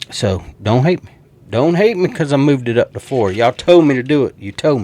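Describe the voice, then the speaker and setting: A man with a Southern US accent speaks at a fairly quick pace and fairly high pitch, swinging his pitch very widely. Noticeable background noise runs underneath. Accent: country Southern. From US South. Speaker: sports YouTuber. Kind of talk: casual sports predictions monologue. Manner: animated.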